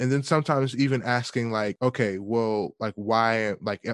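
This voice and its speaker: A man with an American accent, fairly even intonation, and dry, close sound with no echo against a quiet background. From US South, Atlanta, Georgia. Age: 20s. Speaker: music student and community organizer. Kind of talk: casual interview. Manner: hesitant, many fillers.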